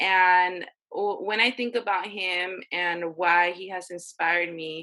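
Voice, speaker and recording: A woman talks very slowly at a medium pitch with fairly even intonation. Her loudness swings widely. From Inland Empire, California. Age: 20s. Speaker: wellness coach, podcast guest. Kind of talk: podcast interview answer.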